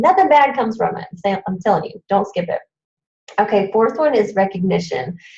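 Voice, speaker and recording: At a fairly quick pace, a woman with a medium pitch and vocal fry speaks in an animated tone with lively intonation. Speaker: fitness coach presenter. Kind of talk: training presentation.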